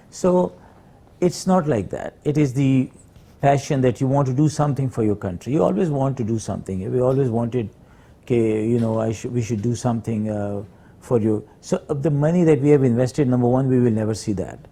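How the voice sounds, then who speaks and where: Somewhat breathy with a dark, mellow tone, a man talks at a fairly quick pace and a medium pitch with ordinary pitch variation. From Pakistan, Peshawar. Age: 60s. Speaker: hospital founder and doctor. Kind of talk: interview. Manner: halting, many fillers.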